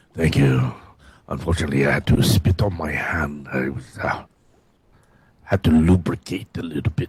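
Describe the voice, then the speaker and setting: Someone uses a put-on character voice at a moderate pace. Long pauses come often. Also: man, very deep, low pitch for a man. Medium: actual play. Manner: hesitant, filler-laden.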